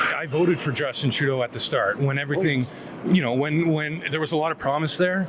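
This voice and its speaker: Over noticeable background noise, a man talks at a very fast pace in a fairly high pitch with fairly even intonation. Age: 40s. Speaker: member of the public interviewed on the street. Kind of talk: street interview.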